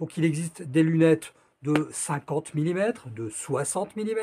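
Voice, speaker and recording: A man speaks over light background noise. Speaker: presenter. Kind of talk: tutorial. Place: home room. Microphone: phone near.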